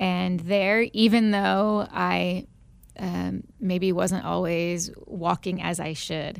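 A woman with an American accent at a very slow pace, on a very clean recording with a silent background. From Northwest Indiana, near Chicago. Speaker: pastor and former teacher. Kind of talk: radio interview, personal testimony.

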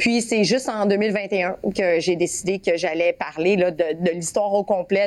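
A woman speaks at a very slow pace with a Quebec accent. Her pitch is medium, and the recording is very clean with a silent background. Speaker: former athlete. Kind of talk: interview testimony. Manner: halting.

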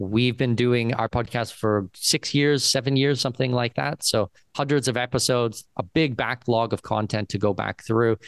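An ordinary speaking voice with a Canadian accent flows with hardly any pauses, fairly even intonation and very even loudness, in a dry, close sound with no echo. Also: man, medium pitch for a man, moderate pace. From Canada, Southwestern Ontario. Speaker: expat and citizenship consultant. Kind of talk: interview.

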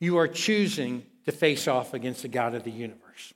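The recording is very clean, the background silent. A man talks in an American accent. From Kentucky. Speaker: guest pastor. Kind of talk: sermon. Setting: church with congregation.

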